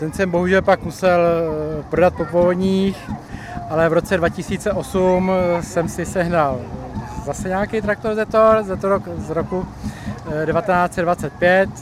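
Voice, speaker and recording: Over noticeable background noise, a man talks very slowly. His pitch is high for a man. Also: ordinary pitch variation. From Czechia, central Bohemia. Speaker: tractor collector, print production worker. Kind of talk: interview.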